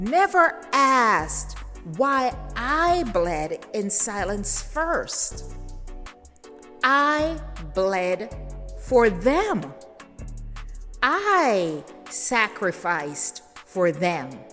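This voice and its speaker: A woman speaks very slowly in a fairly high voice with very wide pitch swings and long, frequent pauses while music plays in the background. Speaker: spoken word poet. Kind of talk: spoken word poetry performance.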